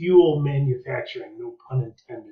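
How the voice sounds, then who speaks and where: A man with an American accent, somewhat breathy and fairly high in pitch. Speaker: history teacher. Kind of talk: lecture. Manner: fast.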